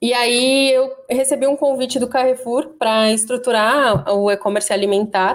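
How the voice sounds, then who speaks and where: Speaking at a moderate pace, a woman keeps her loudness very even with a high pitch. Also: ordinary pitch variation, hardly any pauses. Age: 30s. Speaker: e-commerce manager. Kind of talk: interview.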